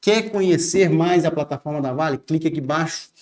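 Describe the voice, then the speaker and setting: A man with a high pitch speaks with fairly even intonation. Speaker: law teacher for civil service exams. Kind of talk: online exam-prep lecture. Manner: fast.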